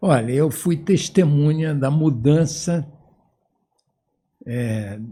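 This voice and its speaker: A man's somewhat breathy, dark, mellow voice, fairly high in pitch for a man, with lively intonation, a very slow pace and long, frequent pauses. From Brazil, Amapá (Macapá). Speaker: retired professor of medicine, endocrinologist. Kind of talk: interview.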